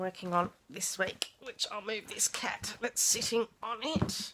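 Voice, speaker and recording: Speaking with an Australian accent, a woman uses ordinary pitch variation at a fairly high pitch. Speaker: craft vlogger. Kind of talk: casual show-and-tell vlog. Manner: hesitant, many fillers.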